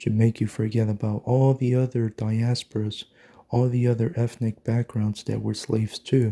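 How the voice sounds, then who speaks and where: A man's medium-pitched voice, monotone and flat, at a fairly slow pace, with a dry, close sound and no echo. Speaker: video blogger. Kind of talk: angry ranting monologue, conspiratorial and insistent. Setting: morning solo recording. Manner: emphatic, repetitive, hammering points with 'mark my fucking words'.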